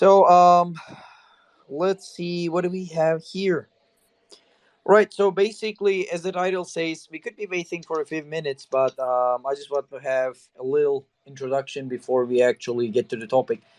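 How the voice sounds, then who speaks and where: A man with a high-pitched voice and a non-native accent speaks at a moderate pace with ordinary pitch variation. His loudness swings widely, and the sound is dry and close with no echo. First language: not English. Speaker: podcast host. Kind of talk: interview. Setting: online audio space. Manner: hesitant, many fillers.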